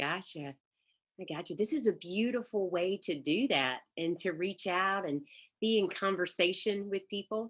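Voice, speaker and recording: A woman's warm tone in a strong Southern US accent, ordinary pitch variation, quiet background. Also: medium pitch for a woman, moderate pace. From Mississippi, US South. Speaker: life coach and energy healer. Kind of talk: interview conversation. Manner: warm, hesitant with fillers.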